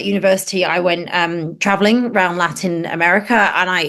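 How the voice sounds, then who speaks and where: A woman speaks with a British accent. She leaves hardly any pauses. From northern England. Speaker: space journalist and TV presenter. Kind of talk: podcast interview.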